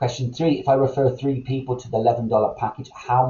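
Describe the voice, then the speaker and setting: A man's medium-pitched voice sounds somewhat breathy. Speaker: MLM presenter. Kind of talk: recorded sales presentation. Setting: recorded online meeting. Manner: fast.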